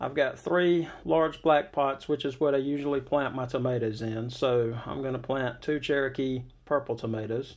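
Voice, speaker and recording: Moderate in pace with hardly any pauses, a man talks in an Alabama accent. His pitch is medium, with ordinary variation. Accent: Southern US (Alabama). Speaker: gardening YouTuber. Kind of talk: tutorial. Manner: casual.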